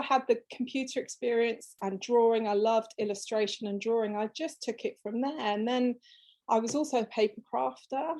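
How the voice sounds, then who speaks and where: A fairly high-pitched woman's voice with an English accent, fairly even intonation and a moderate pace. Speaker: fabric designer. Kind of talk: interview.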